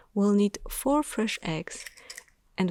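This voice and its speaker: Soft-spoken and calm in tone, the voice moves at a moderate pace. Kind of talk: ASMR cooking narration. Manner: soft-spoken, calm.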